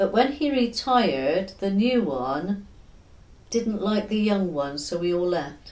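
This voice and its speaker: Speaking in a West Country accent, a woman talks at a fairly slow pace. Her pitch swings very widely. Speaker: former factory worker. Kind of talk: oral history interview answer.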